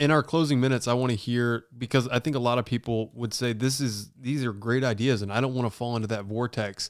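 The man's voice sits at medium pitch with fairly even intonation. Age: 20s. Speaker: podcast host and football player. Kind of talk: casual interview chat. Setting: video call. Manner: calm.

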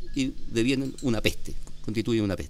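The pace is moderate and the pitch varies in an ordinary way. Music can be heard in the background. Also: man. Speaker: organic winemaker, vineyard owner. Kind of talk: casual interview. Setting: on location at a vineyard.

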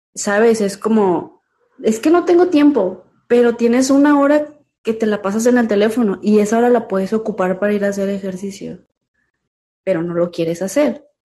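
A woman speaks at a moderate pace with a fairly high pitch. Her intonation is lively and her tone dark and mellow. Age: 30s. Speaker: amateur bodybuilder and nurse. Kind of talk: interview.

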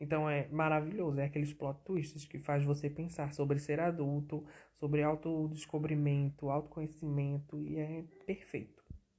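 Here a man talks at a moderate pace. His voice is fairly high-pitched and somewhat breathy. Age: 20s. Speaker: podcast host. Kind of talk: casual solo podcast. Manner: animated.

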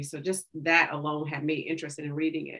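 A woman with an American accent talks at a fairly quick pace in a bright, sharp tone. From Oklahoma, Tulsa. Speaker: bookstore co-owner. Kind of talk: casual interview.

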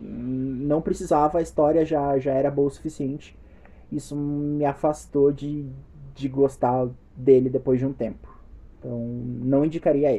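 Over music in the background, a man talks fairly slowly in a fairly high pitch with monotone, flat intonation. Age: 20s. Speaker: podcast host. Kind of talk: casual chat.

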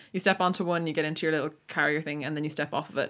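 Over a very clean recording with a silent background, a woman with an Irish accent talks very fast in a very deep, low pitch with fairly even intonation. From Ireland. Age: 20s. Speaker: podcast co-host. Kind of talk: casual chat.

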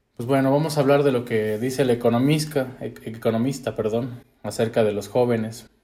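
This man talks at a moderate pace in a medium pitch, his dark, mellow tone carried by fairly even intonation. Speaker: podcast co-host. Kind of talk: casual chat.

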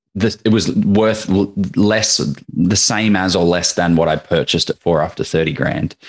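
A man with an Australian accent, fairly low pitch and ordinary pitch variation, at a fairly slow pace. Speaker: property investor. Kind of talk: casual interview. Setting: video call.

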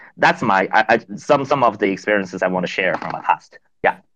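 A man speaks with a Chinese accent at a moderate pace. The background is quiet. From China. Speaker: venture capital partner, co-host. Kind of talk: panel discussion. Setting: online audio space.

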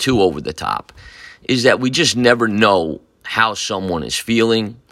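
Bright and sharp in tone, a man speaks at a fairly slow pace with ordinary pitch variation. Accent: American. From Newburgh, New York, US. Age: 60s. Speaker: high school football coach. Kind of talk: personal storytelling monologue. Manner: halting, many fillers and repeats.

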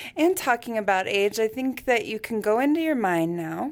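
The woman moves along at a fairly brisk clip. Her recording is very clean, and the background is completely silent. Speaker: podcast co-host. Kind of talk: casual interview chat.

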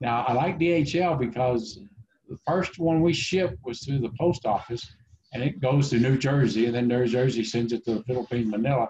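This man has a dark, mellow tone, a somewhat breathy quality, and an American accent. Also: medium pitch for a man, ordinary pitch variation, moderate pace. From Oklahoma. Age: 50s. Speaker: IT consultant. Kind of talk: casual interview. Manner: halting, many fillers.

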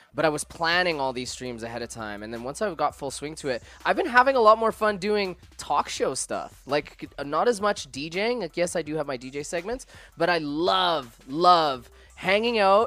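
With music in the background, a man talks at a moderate pace in a high, animated voice whose pitch swings very widely. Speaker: DJ and podcast co-host. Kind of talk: casual chat. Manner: joking, animated.

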